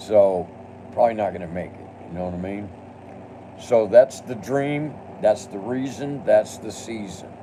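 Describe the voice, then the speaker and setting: A man at a moderate pace, with ordinary pitch variation, long, frequent pauses, big swings in loudness and noticeable background noise. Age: 60s. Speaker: live streamer. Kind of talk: casual live stream monologue; angry rant at a commenter. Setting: home studio.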